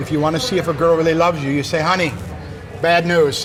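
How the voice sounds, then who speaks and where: A man's fairly high voice with a western New York accent, very fast pace, fairly even intonation, audible room echo and noticeable background noise. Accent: American, western New York. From US, Buffalo, New York. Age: 60s. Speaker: TV presenter and writer. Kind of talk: interview. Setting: beachside restaurant.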